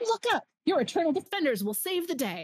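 In a put-on character voice, the speaker talks at a fairly quick pace with an extremely high pitch and very wide pitch swings. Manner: booming, heroic.

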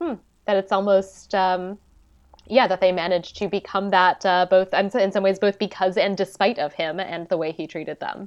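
A woman speaks at a medium pitch and a moderate pace, with fairly even intonation. It is a plain, everyday voice against a quiet background. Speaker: historian, podcaster. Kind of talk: casual chat, interview.

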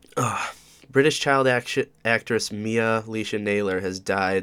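A man speaks with an upstate New York accent. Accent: upstate New York American. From Oswego, New York, US. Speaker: podcast host. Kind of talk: casual solo monologue. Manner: hesitant, many fillers.

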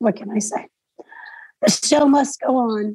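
A woman speaks very slowly at a fairly high pitch with ordinary pitch variation. Her tone is dark and mellow, and somewhat breathy. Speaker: presenter answering questions on a phone for blind users. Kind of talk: Q&A on a group call.

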